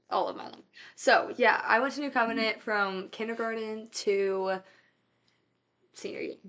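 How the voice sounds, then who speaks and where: With long, frequent pauses, a woman in a bright, sharp tone speaks at a moderate pace, showing ordinary pitch variation and big swings in loudness. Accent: Midwestern American. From US Midwest. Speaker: college student. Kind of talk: testimony. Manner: casual, many fillers.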